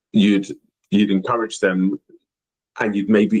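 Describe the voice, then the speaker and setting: The recording is dry and close, without any echo. It features a man with an English accent. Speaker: youth soccer coach and podcast co-host. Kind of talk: casual discussion. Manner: many fillers (um, you know).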